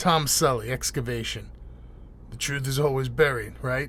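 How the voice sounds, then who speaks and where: Putting on a gruff character voice, a man speaks at a moderate pace over clear background noise. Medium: read story. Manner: dry, gruff.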